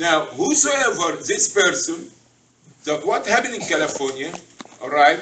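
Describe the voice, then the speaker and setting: His intonation moves in a lively way. The speaker is a man going at a medium pace. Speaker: religious teacher. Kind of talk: sermon-style talk to a group. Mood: earnest, instructive. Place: hall. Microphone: camera far.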